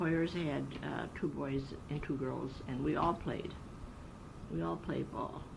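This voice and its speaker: A woman with an American accent at a very slow pace, with long, frequent pauses and audible room echo. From Wisconsin, US Midwest. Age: 80s+. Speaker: elderly interviewee sharing memories. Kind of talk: oral history interview.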